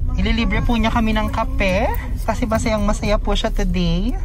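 Over clear background music, a woman speaks at a fairly slow pace in a dry recording with no echo. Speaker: vlogger passenger filming. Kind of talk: casual vlog chat. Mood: cheerful, joking. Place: car. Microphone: phone near.

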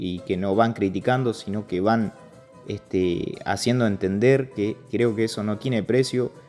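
Music plays in the background as a man talks in a fairly low pitch. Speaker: horse trainer. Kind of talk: voice-over narration of own video. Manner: casual, hesitant.

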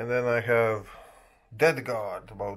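A man talks at a medium pitch with a quiet background behind him. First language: not English. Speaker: gaming and miniature hobby YouTuber; miniature hobby YouTuber. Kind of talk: casual vlog monologue. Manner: halting, frequent filler sounds.

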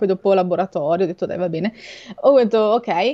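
The woman's tone is dark and mellow, with ordinary pitch variation. The background is quiet. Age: 20s. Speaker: marine biologist and shark science communicator; guest. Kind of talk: interview about sharks on a livestream. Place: home room.

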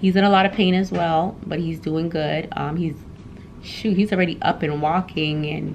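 With light background noise behind her, a woman talks with fairly even intonation at a very deep, low pitch. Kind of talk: casual vlog chat. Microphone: phone near.

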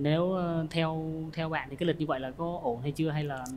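A man speaks in a nervous tone at a fairly high pitch. His pace is moderate and his pitch variation ordinary. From southern Vietnam. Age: 20s. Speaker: soldier, dating show contestant. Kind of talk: casual chat. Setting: studio. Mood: shy, slightly nervous. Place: studio.

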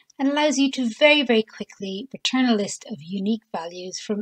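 With a somewhat breathy voice, a woman speaks with ordinary pitch variation in a dry, close sound with no echo. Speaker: Excel tutorial presenter. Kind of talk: software tutorial narration.

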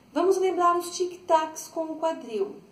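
This is a woman speaking. Audible room echo is present. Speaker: dance teacher. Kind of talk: tutorial. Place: home room. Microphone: camera far.

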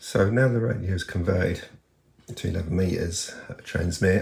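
In a room with audible echo, a man with a low pitch and vocal fry talks at a fairly slow pace with ordinary pitch variation.

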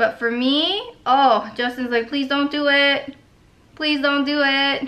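A raised, projected voice with a bright, sharp tone moves at a fairly slow pace. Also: woman. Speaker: beauty vlogger. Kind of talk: casual makeup tutorial chat.

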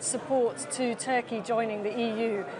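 A woman talks with a British accent. Noticeable background noise runs behind her. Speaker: political journalist. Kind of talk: live TV interview. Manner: formal. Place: hall. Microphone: lapel.

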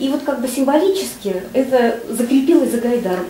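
A woman with a high-pitched voice speaks with ordinary pitch variation over noticeable background noise. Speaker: audience member. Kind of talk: audience question.

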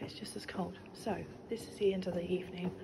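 A woman at a moderate pace amid loud background noise. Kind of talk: casual vlog chat. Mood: relaxed, exploring. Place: tunnel cave. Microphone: phone near.

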